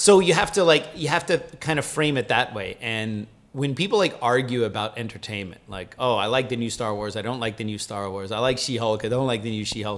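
The speech moves at a fairly quick pace with lively intonation and hardly any pauses. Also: man. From Cuban-American, US. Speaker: martial arts instructor and podcast host; martial arts instructor, podcast host. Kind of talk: casual chat. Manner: animated. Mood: joking, animated. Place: home room. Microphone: studio mic.

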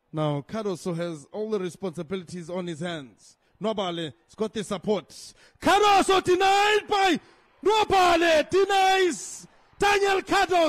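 At a fairly slow pace, a man speaks in an animated tone with an extremely high pitch and very wide pitch swings. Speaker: football commentator. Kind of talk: live match commentary.

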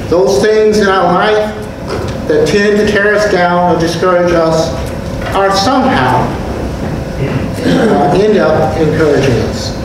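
Against noticeable background noise and strong room echo, a man with a high voice speaks at a fairly slow pace with ordinary pitch variation and long, frequent pauses. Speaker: pastor. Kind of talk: sermon. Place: church. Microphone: podium.

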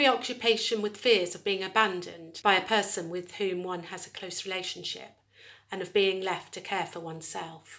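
Using a bright, sharp tone, a woman talks at a moderate pace with fairly even intonation. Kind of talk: lecture. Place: home room. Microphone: phone near.

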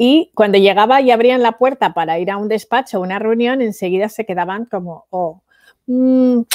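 Over a quiet background, a woman speaks at a moderate pace with a fairly high pitch and ordinary pitch variation, the sound dry with no echo. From Spain (Valencia); Spain. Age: 40s. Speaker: entrepreneur and international speaker; speaker. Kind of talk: interview. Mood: reflective, recalling hard childhood. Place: home room. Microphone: headset.

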